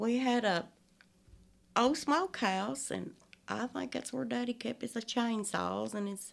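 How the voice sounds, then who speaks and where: A woman speaks in an Appalachian accent. She leaves long, frequent pauses. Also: fairly slow pace. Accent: Appalachian twang. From Appalachia, eastern Kentucky hollers. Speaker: storyteller guest. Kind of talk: casual interview chat. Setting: studio.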